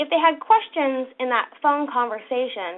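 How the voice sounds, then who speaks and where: Energetic in tone, a woman speaks. Her pitch is high. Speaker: sales trainer. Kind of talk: webinar training presentation. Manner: energetic, coaching tone.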